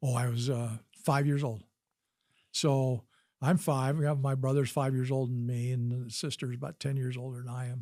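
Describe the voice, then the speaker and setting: A man with an American accent speaks at a moderate pace and medium pitch, in a monotone, flat intonation. The recording is very clean, with a silent background. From Wisconsin, US Midwest; raised partly in Utah. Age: 70s. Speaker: physician and army veteran. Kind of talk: interview storytelling.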